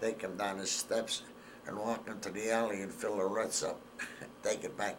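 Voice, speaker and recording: A man with an American accent speaks with audible room echo around him. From northeastern Pennsylvania, Hazleton. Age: 80s+. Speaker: war veteran.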